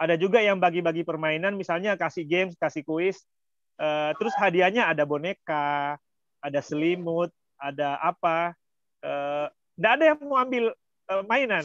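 Against a quiet background, a man with a high pitch talks at a moderate pace with ordinary pitch variation, the sound dry with no echo. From Indonesia, West Sulawesi (Pambusuang coast); West Sulawesi, Indonesia. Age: 30s. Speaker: lecturer and volunteer speaker; lecturer guest. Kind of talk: online talk, sharing experience. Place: home room. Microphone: phone instead of laptop, unstable Wi-Fi; video call.

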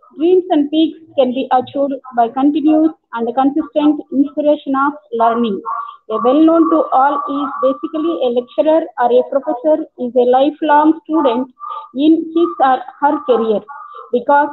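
A woman talks with a high pitch, ordinary pitch variation and a moderate pace, with light background noise behind her. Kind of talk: formal welcome speech. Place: office. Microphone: earbuds.

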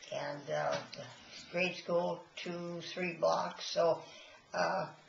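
Very slowly, a woman speaks with an American accent, with audible room echo and light background noise. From Illinois. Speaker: mother of twelve. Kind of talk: casual interview. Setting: family home kitchen table. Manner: halting, many hesitations. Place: kitchen. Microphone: webcam.

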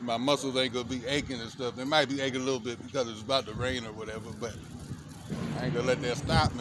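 A man talks at a very fast pace in a dry recording with no echo and noticeable background noise. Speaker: fitness vlogger. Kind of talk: casual workout tutorial chat. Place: open country.

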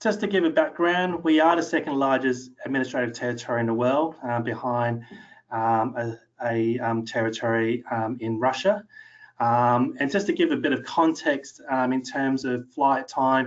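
The pace is moderate, with ordinary pitch variation. The background is quiet. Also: man. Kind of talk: lecture. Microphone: webcam.

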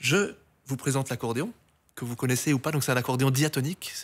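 The man's pitch sits at medium. He talks at a fairly quick pace with ordinary pitch variation. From Brussels, Belgium. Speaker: accordionist; guest. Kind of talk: interview. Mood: warm, reminiscing. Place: studio. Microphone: studio mic.

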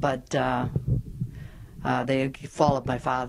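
A woman's very deep, low voice amid noticeable background noise. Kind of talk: informal interview answer. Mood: warm, reminiscing. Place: home room. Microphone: handheld.

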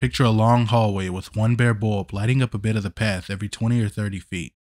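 A plain, everyday voice from a man with fairly low pitch and ordinary pitch variation, dry and close with no echo in a very clean recording with a silent background. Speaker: YouTube narrator of true scary stories. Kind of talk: ghost story telling, scripted narration.

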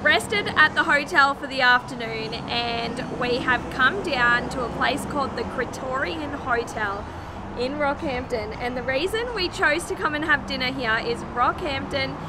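A woman talks at a moderate pace with ordinary pitch variation. Loud background noise is present. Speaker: family travel vlogger. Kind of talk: casual vlog chat. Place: street. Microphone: phone near.

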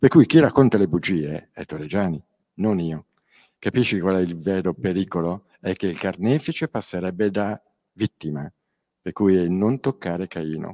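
This man's very deep, low voice has a dark, mellow tone and ordinary pitch variation at a moderate pace. He leaves long, frequent pauses against a quiet background. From Milan, northern Italy. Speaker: crime victim and author. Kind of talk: panel talk at a public event. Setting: stage with audience. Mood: earnest, firm, indignant at times. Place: hall. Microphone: handheld.

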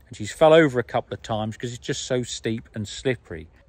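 A man speaks at a fairly quick pace, and the sound is dry with no echo. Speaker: farmer vlogger. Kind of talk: casual vlog chat. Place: open country. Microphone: phone near.

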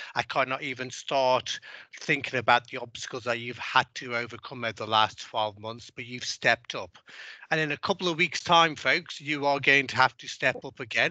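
A man with a bright, sharp tone speaks at a moderate pace with ordinary pitch variation and big swings in loudness, the sound dry with no echo against a quiet background. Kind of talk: speech to staff. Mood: warm, encouraging. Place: office. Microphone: headset.

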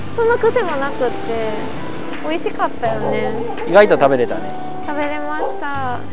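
A woman talks at a moderate pace over clear music in the background. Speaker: travel vlogger. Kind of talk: casual vlog chat. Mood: cheerful, laughing. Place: garden. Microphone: lapel.

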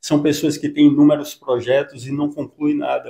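In a quiet setting, a man's fairly high voice with a dark, mellow tone moves at a moderate pace and fairly even intonation. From Salvador, Bahia, Brazil; Bahia, Brazil. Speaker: psychologist and author; interviewee. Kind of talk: interview. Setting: clinic. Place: office. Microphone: handheld.

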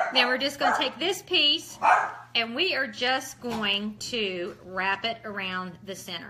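Over loud background noise, a woman in a West Virginia accent speaks at a fairly slow pace with a fairly high pitch and lively intonation. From Ohio. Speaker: craft tutorial host. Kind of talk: tutorial. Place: kitchen. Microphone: phone near.

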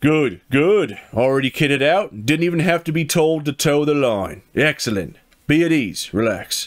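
A man puts on a gruff, gravelly character voice, pitched fairly high, with lively intonation, very even loudness and a moderate pace. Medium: solo performance. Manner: commanding.

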